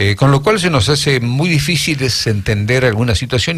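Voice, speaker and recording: A man at a medium pitch, somewhat breathy, with lively intonation and a fairly quick pace. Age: 70s. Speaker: radio host. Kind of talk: radio interview.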